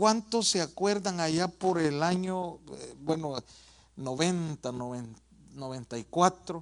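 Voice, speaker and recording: The pace is very slow. A man speaks in a high pitch. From El Salvador. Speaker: pastor. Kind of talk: sermon.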